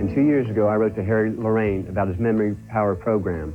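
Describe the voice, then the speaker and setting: A man speaks at a very fast pace and a fairly low pitch, with ordinary pitch variation. His loudness stays very even while music plays in the background. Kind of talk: testimonial.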